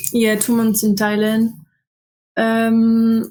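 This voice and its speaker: A woman with a French accent speaks very slowly at a fairly high pitch. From France, Alsace. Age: 20s. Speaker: student traveler. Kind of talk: interview. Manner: hesitant, many fillers.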